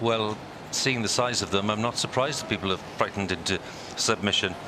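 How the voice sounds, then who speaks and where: A man speaks at a fairly low pitch with very even loudness and fairly even intonation. Noticeable background noise runs underneath. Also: fairly quick pace. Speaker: TV presenter. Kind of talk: live ceremonial broadcast commentary.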